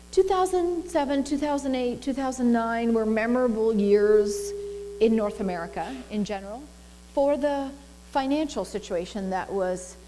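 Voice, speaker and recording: Using a plain, everyday voice, a woman speaks at a moderate pace and her intonation is lively. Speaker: minister, spiritual center staff minister. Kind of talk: sermon-style talk to congregation, personal anecdote.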